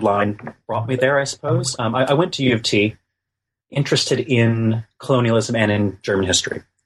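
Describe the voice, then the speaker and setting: At a moderate speed, the speech is somewhat breathy, its pitch varying in an ordinary way. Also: man. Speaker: history lecturer and author. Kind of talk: interview. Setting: remote call. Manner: hesitant with fillers.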